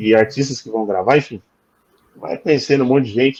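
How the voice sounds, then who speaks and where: Moderately paced, a man speaks at a medium pitch. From Brazil, São Paulo. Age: 40s. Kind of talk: interview testimony. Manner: halting, many fillers.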